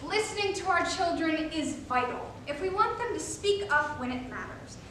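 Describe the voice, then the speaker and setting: A woman at an extremely high pitch with lively intonation, amid noticeable background noise. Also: moderate pace. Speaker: college forensics team member. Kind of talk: reader's theater performance.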